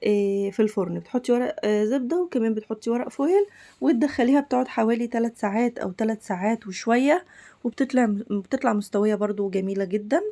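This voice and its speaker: A woman speaks at a moderate pace with a dark, mellow tone, a fairly high pitch and ordinary pitch variation. The recording is very clean, with a silent background. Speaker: cooking channel host. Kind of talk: cooking tutorial. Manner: casual, chatty.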